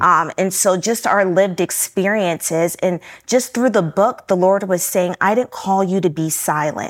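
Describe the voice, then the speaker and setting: On a very clean recording with a silent background, a woman with an American accent speaks at a moderate pace and medium pitch, her intonation fairly even, in an unremarkable speaking voice. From Newport News, Virginia. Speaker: author and business consultant. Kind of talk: interview.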